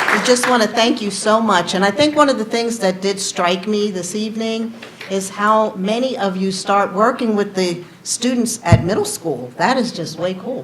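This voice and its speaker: A woman of medium pitch talks at a moderate pace with ordinary pitch variation, with audible room echo and noticeable background noise. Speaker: board chair. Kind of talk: closing remarks. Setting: stage with audience, PA system. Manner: loud; enthusiastic.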